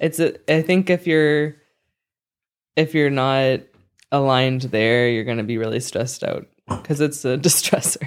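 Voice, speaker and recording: A man with a fairly high pitch and ordinary pitch variation speaks at a moderate pace, leaving long, frequent pauses. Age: 20s. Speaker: podcast co-host. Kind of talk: casual chat.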